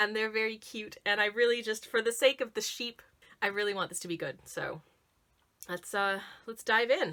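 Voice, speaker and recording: With a southern Ontario accent, a woman speaks at a moderate pace in a fairly high pitch and a bright, sharp tone. Her pitch variation is ordinary, but her loudness swings widely. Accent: Southern Ontario Canadian. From Canada, Southern Ontario. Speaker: YouTuber, tea taster. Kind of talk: casual tasting review vlog. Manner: chatty, halting with self-corrections.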